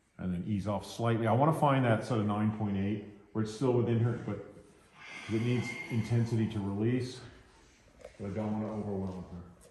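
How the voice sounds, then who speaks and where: Despite a fairly quick pace, this man leaves long, frequent pauses, his intonation fairly even, with audible room echo and noticeable background noise. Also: fairly low pitch for a man. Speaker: massage therapist. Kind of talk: live demonstration with commentary. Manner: casual.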